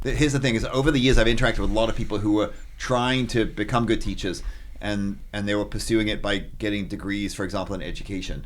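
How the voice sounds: A man at a fast pace with a fairly low pitch. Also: fairly even intonation.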